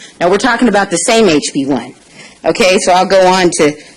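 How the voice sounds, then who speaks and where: A woman at a medium pitch talks fairly quickly in an animated tone, her pitch swinging very widely. Noticeable background noise runs underneath. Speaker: public commenter at city council meeting. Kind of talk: public comment. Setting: city council chamber. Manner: loud.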